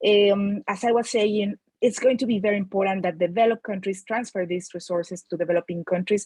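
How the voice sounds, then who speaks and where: In a Mexican accent, a woman speaks at a fairly quick pace with a medium pitch and a somewhat breathy voice. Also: dry, close sound with no echo. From Mexico. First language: Spanish. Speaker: climate finance expert. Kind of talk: panel talk.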